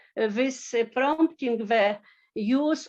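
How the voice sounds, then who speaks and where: A woman speaks with a Polish accent at a very slow pace. Her pitch is fairly high. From Poland. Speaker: agricultural researcher. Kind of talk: conference presentation. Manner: halting, many fillers.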